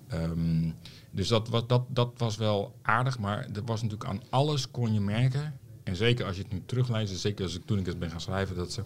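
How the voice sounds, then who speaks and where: A man speaks at a moderate pace with a fairly low pitch and ordinary pitch variation. His voice is somewhat breathy. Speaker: journalist and author. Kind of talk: casual chat.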